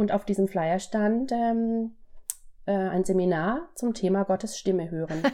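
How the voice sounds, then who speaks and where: A woman speaks at a fairly slow pace with a dark, mellow tone. Her loudness stays very even, and her pitch varies in an ordinary way. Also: medium pitch for a woman. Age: 40s. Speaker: pediatric physiotherapist. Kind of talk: interview testimony.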